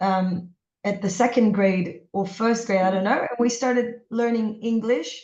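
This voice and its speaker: Amid audible room echo, a woman with a fairly high pitch talks at a moderate pace with fairly even intonation and long, frequent pauses. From Israel. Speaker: podcast host. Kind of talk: interview.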